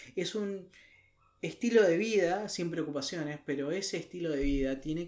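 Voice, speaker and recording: This is a normal speaking voice with ordinary pitch variation at a moderate pace. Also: man. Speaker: podcast co-host. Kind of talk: casual chat.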